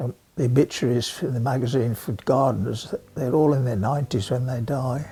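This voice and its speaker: At a fairly quick pace, a man with an English accent speaks with a medium pitch, fairly even intonation and a dark, mellow, somewhat breathy tone. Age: 80s+. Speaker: amateur gardener. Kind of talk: interview monologue.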